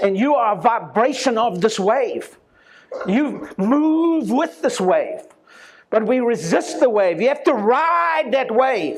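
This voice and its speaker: Very slow and extremely high-pitched, this man's voice has very wide pitch swings. His loudness stays very even throughout. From South Africa. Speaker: chiropractor. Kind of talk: talk to an audience. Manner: animated.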